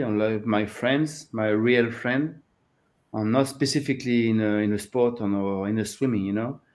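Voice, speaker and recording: A man's medium-pitched voice with a French accent. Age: 50s. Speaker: open water swimming coach. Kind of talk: interview. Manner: halting.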